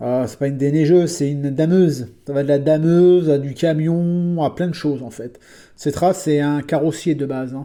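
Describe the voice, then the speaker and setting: The recording is very clean with a silent background. The speech runs at a moderate pace. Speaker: scale model bus collector YouTuber. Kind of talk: casual collection show-and-tell video. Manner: hesitant, many filler sounds; unprepared, spontaneous.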